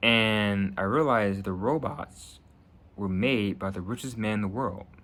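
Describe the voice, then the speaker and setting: A man with an American accent and a normal speaking voice, fairly low in pitch, at a fairly slow pace with ordinary pitch variation. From New Jersey. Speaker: YouTuber making prediction videos. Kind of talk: casual monologue to camera.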